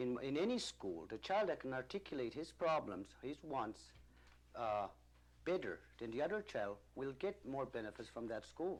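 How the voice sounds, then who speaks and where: A man with a medium pitch speaks with vocal fry. His pitch swings very widely. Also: moderate pace. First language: Mi'kmaq. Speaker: band council leader. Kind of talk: interview. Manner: halting.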